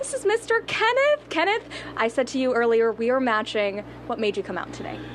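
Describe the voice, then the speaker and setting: Noticeable background noise accompanies the recording. A woman speaks at a fairly quick pace. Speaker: news anchor. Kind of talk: live field interview.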